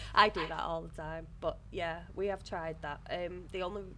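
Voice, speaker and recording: The speech goes at a moderate pace with audible room echo. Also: woman. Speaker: video game streamer. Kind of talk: casual chat. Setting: live stream, sharing a room with co-host. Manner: loud at times.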